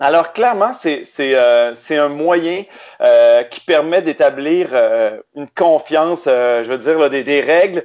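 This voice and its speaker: A man with a Quebec accent. His pitch sits fairly high for a man. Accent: Québécois. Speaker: game co-creator. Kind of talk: casual interview.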